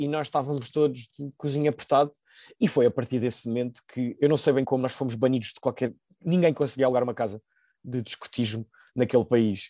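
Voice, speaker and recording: A man with a Lisbon accent speaks fairly quickly at medium pitch, his tone dark and mellow with fairly even intonation. The sound is dry and close with no echo, against a quiet background. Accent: European Portuguese, Lisbon. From Portugal, Lisbon. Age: 20s. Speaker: nurse, former exchange student. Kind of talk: casual interview.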